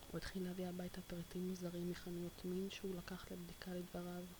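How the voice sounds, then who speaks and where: Soft-spoken delivery at a moderate pace amid noticeable background noise. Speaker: ASMR video creator. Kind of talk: reading a novel aloud in Hebrew.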